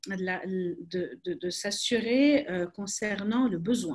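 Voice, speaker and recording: A woman's somewhat breathy voice at a medium pitch, with a very slow pace. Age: 30s. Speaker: crisis communication expert. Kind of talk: webinar talk. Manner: hesitant, many repetitions.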